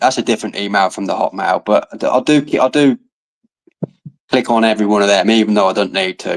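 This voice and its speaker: In an English accent, a man talks at a fairly quick pace with a fairly low pitch. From England. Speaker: livestream guest. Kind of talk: casual chat.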